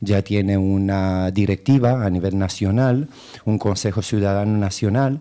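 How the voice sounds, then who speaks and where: A man with a Romanian accent speaks at a fairly low pitch in a dark, mellow tone. His pace is fairly slow, his intonation fairly even and his loudness very even. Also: quiet background. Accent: foreign (Romanian) accent in Spanish. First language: Romanian (speaking Spanish). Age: 30s. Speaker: political candidate and activist; candidate. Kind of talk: radio interview. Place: studio.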